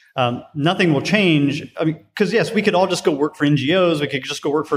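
Here a man has a normal speaking voice, fairly high in pitch, with ordinary pitch variation at a moderate pace. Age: 40s. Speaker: design director. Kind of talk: interview. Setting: conference venue.

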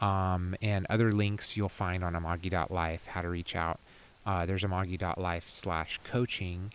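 A man with an American accent talks at a fairly slow pace with a very deep, low pitch and fairly even intonation. The recording is very clean with a silent background. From Texas (Houston). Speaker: life coach and festival organizer. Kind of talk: casual chat. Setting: outdoors.

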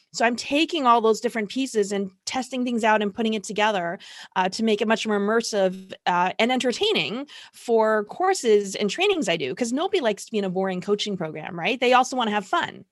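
Talking very fast in an animated, energetic tone, a woman with a Canadian accent speaks at a fairly high pitch. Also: lively intonation. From Toronto, Canada. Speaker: marketing consultant. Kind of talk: interview.

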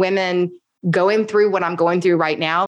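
A plain, everyday voice is heard. Its pitch variation is ordinary. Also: woman. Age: 40s. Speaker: podcaster and entrepreneur. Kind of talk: casual interview chat.

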